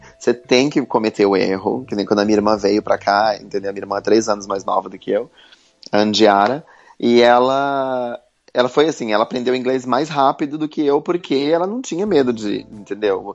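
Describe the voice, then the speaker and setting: The delivery is fairly quick, with ordinary pitch variation. It is a plain, everyday voice. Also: man, medium pitch for a man. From Brazil, Santa Catarina. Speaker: entrepreneur. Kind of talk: interview.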